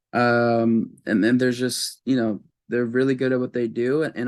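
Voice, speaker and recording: With an American accent, a man talks at a fairly quick pace in a medium pitch, his intonation monotone and flat. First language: Spanish. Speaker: actor and singer. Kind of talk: interview. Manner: halting with many fillers.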